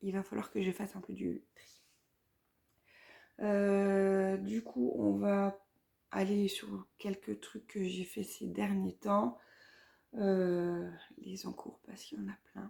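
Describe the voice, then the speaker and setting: A woman speaks at a very slow pace, leaving long, frequent pauses. Her loudness swings a lot. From Vosges, north-eastern France. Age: 30s. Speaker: knitting podcaster. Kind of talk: casual vlog chat. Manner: hesitant, many fillers.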